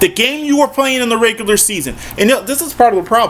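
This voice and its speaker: The man sounds animated, talking at a fairly quick pace. Background noise is noticeable. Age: 40s. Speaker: sports commentator. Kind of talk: monologue rant.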